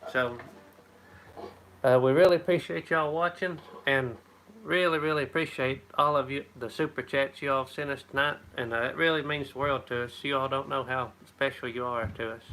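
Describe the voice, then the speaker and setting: A man talks with an Appalachian accent at a moderate pace. His pitch is fairly high, with ordinary variation. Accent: Appalachian, like Tennessee. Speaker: homesteader. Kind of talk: live stream chat. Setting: live stream at home. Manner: casual, halting.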